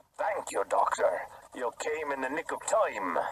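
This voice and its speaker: Speaking at a moderate pace, a man adopts a put-on character voice. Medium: audio drama. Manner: cool, sly.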